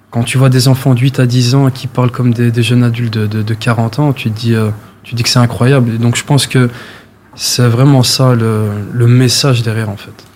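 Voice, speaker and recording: Monotone, flat intonation marks this man's delivery at a medium pitch. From Brussels, Molenbeek. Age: 20s. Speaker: amateur athlete, charity runner. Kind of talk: interview. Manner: hesitant, filler words.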